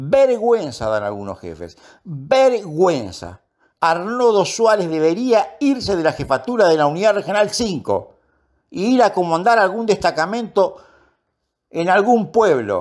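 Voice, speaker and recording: Speaking at a fairly slow pace, a man with a high pitch makes very wide pitch swings. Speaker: police union spokesman and commentator. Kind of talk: opinion commentary.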